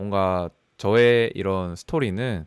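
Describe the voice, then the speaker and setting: Recorded very cleanly with a silent background and a dry, close sound with no echo, a man speaks at a fairly low pitch. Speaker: data scientist. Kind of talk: personal career story talk. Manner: fast; talkative, casual.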